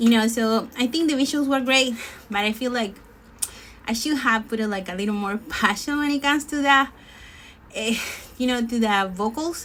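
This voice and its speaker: A woman speaks at a high pitch with a Spanish accent and ordinary pitch variation. Her pace is moderate, broken by long, frequent pauses. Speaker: singer. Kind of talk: casual chat. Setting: live stream. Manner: halting.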